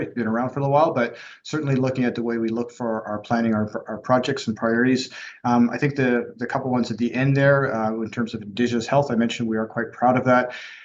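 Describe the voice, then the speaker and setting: A man talking very fast in a monotone, flat intonation. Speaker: health authority executive. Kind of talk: formal presentation. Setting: board meeting.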